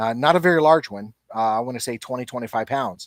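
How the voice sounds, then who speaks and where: In a very clean recording with a silent background, a man with a Southern US accent speaks at a medium pitch with ordinary pitch variation. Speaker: YouTuber and Bigfoot researcher. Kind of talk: live stream chat. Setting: live stream. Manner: casual, with many fillers.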